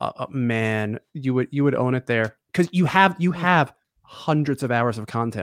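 In an unremarkable speaking voice, a man talks at medium pitch and a moderate pace with lively intonation, the sound dry and close with no echo. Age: 30s. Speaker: podcast co-host. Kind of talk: casual interview chat.

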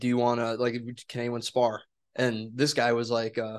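In an American accent, a man with a plain, everyday voice of medium pitch talks at a moderate pace. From Wisconsin. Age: 20s. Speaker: podcast host. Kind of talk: casual chat.

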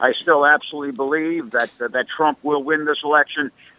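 The speaker is a man. Noticeable background noise can be heard. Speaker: professor and author. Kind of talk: political discussion.

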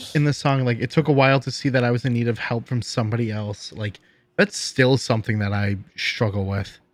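Fairly quick speech from a man in a plain, everyday voice with medium pitch. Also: ordinary pitch variation. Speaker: college student. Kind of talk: casual chat.

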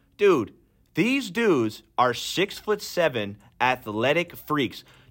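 An animated voice with lively intonation comes through on a very clean recording with a silent background. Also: man. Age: 20s. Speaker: sports podcast co-host. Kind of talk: casual chat.

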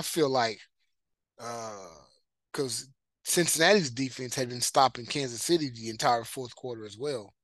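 With a bright, sharp tone, a man speaks with ordinary pitch variation. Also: quiet background. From East Texas (Marshall). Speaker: sports podcast host. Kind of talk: solo sports commentary. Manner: casual, many fillers (uh).

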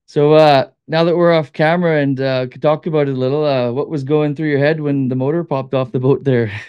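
With a Canadian accent, a man with an ordinary speaking voice talks at a fairly quick pace, his pitch fairly high and his intonation fairly even. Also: hardly any pauses. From Manitoba, Canada. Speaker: hunting and fishing guide. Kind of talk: casual interview.

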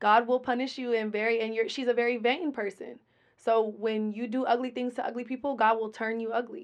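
Against a quiet background, a woman with an American accent and an ordinary speaking voice talks at a fairly quick pace with a fairly high pitch and fairly even intonation. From Colorado, Denver. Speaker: rapper and businesswoman. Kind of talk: interview.

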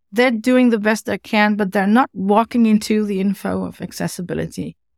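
At a moderate pace, a woman with a Dutch accent and medium pitch speaks on a very clean recording with a silent background, dry and close with no echo. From Netherlands. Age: middle-aged. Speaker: web accessibility consultant. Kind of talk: interview. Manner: animated.

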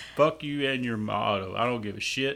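A man with a bright, sharp tone speaks at a moderate pace with ordinary pitch variation, on a very clean recording with a silent background. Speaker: co-host. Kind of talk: casual chat.

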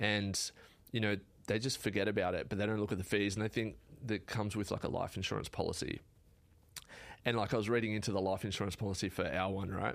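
In a very clean recording with a silent background, a man with an Australian accent and fairly low pitch talks very fast with long, frequent pauses, fairly even intonation and very even loudness. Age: 30s. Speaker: carpenter and builder. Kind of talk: casual interview chat. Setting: studio.

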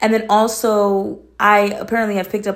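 This woman speaks with an American accent. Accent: shifts between proper and Atlanta. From Atlanta, US South. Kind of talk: casual chat.

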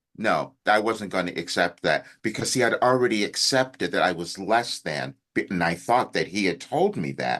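With hardly any pauses, a man talks in a fairly low voice with vocal fry. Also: moderate pace. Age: 70s. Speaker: life coach. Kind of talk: casual interview conversation.

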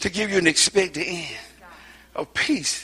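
Over noticeable background noise, a man with a high pitch projects a raised voice at a moderate pace. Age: old. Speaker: guest preacher. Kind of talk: sermon.

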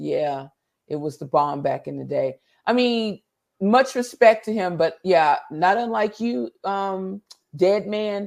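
A woman talks at a fairly slow pace. The recording is very clean and the background silent. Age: 50s. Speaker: talk show host. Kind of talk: casual chat.

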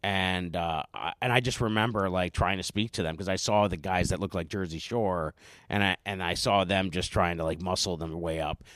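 Someone with an American accent talks at a fairly quick pace with hardly any pauses and fairly even intonation. The recording is very clean and dry, with a close sound, no echo and a silent background. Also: man, very deep, low pitch for a man. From northeastern Pennsylvania (Scranton area). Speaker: comedian and school teacher. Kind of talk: casual chat. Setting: studio.

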